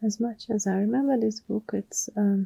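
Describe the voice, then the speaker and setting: A woman's medium-pitched, somewhat breathy voice with a dark, mellow tone and a non-native accent, at a moderate pace in a monotone, flat intonation, with a dry, close sound with no echo. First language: not English. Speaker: ASMR creator. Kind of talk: ASMR personal attention. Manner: whispering; soft-spoken.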